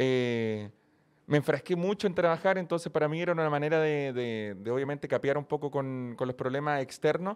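With a Chilean accent, a man with a fairly high voice talks at a moderate pace. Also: ordinary pitch variation, quiet background. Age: 20s. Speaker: YouTuber and streamer. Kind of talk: casual chat.

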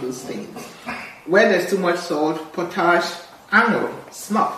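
A woman talks over noticeable background noise, with audible room echo around her. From Nigeria (Igbo). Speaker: doctor. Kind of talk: health podcast interview.

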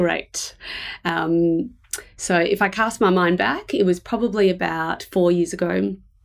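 Here a woman speaks with an Australian accent at a fairly low pitch. Her pace is fairly slow and her pitch variation ordinary. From Australia, Melbourne. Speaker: head of design operations at a bank. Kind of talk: interview conversation. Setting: remote call.

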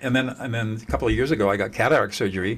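Vocal fry runs through this man's speech in an American accent. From Southern California. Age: 70s. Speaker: mediator and author. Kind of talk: interview. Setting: video call.

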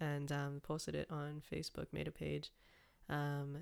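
Her pitch very deep and low, a woman talks at a moderate pace. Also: very clean recording, silent background. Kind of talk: casual chat.

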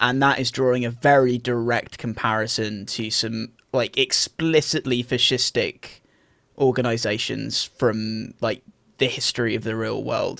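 A man speaks at a fairly slow pace in a medium-pitched voice, his intonation flat and monotone. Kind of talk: casual chat, video game discussion. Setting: remote recording.

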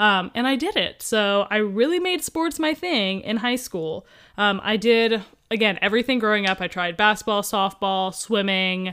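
With an American accent, a plain, everyday voice moves at a moderate pace with lively intonation. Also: woman, fairly high pitch for a woman. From US Midwest (Columbus, Ohio). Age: 20s. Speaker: podcast co-host, personal trainer. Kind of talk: casual chat.

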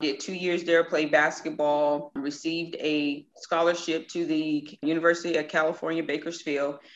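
A woman with a very deep, low pitch and a Southern US accent speaks at a moderate pace in a monotone, flat intonation, with hardly any pauses. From Mississippi. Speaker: hairstylist and business owner. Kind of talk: interview.

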